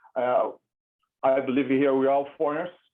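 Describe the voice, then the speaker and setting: A man with a Brazilian Portuguese accent speaks at a fairly quick pace and a medium pitch. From Brazil, São Paulo. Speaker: immigration attorney. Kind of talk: webinar presentation. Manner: casual, conversational.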